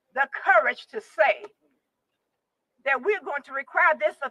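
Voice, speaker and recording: With a raised, projected voice and lively intonation, a woman speaks at a moderate pace in a dry, close sound with no echo. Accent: Tennessee. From US South, Tennessee. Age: 70s. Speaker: retired judge and rally speaker. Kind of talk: rally speech. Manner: impassioned.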